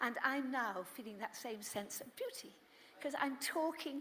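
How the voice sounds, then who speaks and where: Speaking at a fairly slow pace, a woman uses lively intonation in a high voice. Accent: British. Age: 80s+. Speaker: motivational speaker, skydiver. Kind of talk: inspirational talk.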